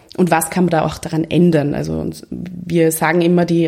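With noticeable background noise behind her, a woman speaks in a monotone, flat intonation at a very deep, low pitch. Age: 20s. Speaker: lawyer and women's network co-founder. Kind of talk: interview conversation.

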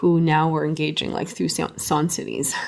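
A woman's normal speaking voice, fairly low in pitch with ordinary variation, in a Canadian accent. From Canada. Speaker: music professor. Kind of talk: interview.

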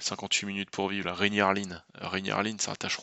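Pitched fairly low, a man's voice moves at a moderate pace. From Normandy, France. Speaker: film critic and podcast co-host. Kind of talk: casual chat.

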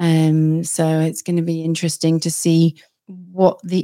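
A dark, mellow voice with a British accent delivers flat, monotone intonation on a very clean recording with a silent background. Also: woman. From Britain. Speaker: psychic medium and podcast host. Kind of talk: casual interview.

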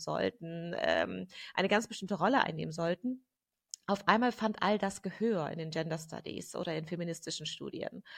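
There is vocal fry in this woman's voice. Her pitch sits in the medium range. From Germany. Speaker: gender researcher and activist. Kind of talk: interview conversation.

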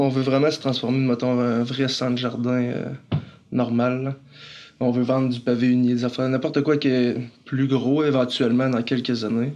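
A man's medium-pitched, monotone delivery at a moderate pace, with very even loudness and flat intonation. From Quebec. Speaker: garden centre co-owner. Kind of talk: casual interview.

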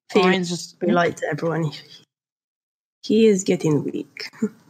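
In a raspy, put-on character voice, the speaker goes at a moderate pace. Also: female-sounding voice, medium pitch for a woman.

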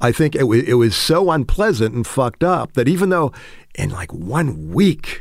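A man speaks fairly slowly in an American accent, his voice showing vocal fry. His pitch swings very widely. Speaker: writer. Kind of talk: interview. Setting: home studio in garage.

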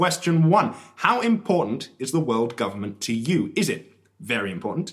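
An animated man speaks at a medium pitch. His voice swings very widely in pitch. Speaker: radio host. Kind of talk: radio dj patter, mock-serious satirical. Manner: animated, sarcastic.

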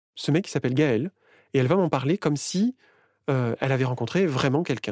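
A man's voice with a dark, mellow tone comes through on a very clean recording with a silent background. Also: dry, close sound with no echo. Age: 40s. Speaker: interviewee sharing personal story. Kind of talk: personal testimony.

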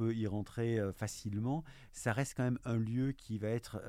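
Dark, mellow tone at a fairly slow pace, in a very clean recording with a silent background. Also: man. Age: 50s. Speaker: network infrastructure director. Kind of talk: interview. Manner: hesitant, many fillers.

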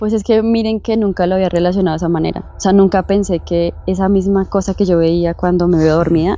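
Fairly quick and fairly even in intonation, a woman speaks in an unremarkable speaking voice with fairly low pitch. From Bogotá, Colombia. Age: 20s. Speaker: guest sharing paranormal experience. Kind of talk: testimony.

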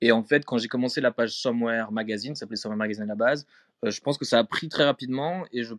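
Very fast in pace, a man of medium pitch speaks in a dry, close sound with no echo over a quiet background. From France, Strasbourg (Alsace). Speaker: photography curator. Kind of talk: casual interview. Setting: live audio chat room.

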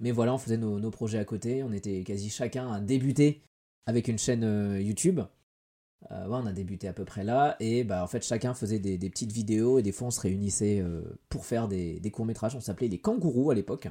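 Dark and mellow in tone, a man with a fairly low pitch and ordinary pitch variation speaks at a fairly quick pace. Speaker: YouTuber. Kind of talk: casual chat. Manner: hesitant, many fillers.

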